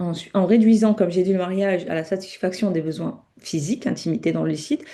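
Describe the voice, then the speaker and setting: A woman speaks at a fairly quick pace in a medium pitch with ordinary pitch variation and a dark, mellow tone. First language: not French (speaking French). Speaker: Islamic teacher. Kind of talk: online lecture. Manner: halting, many self-corrections.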